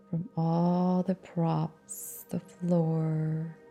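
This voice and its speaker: With music in the background, a woman with a fairly low pitch speaks very slowly in fairly even intonation. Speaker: meditation guide. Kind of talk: guided meditation. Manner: calm, slow, soft-spoken.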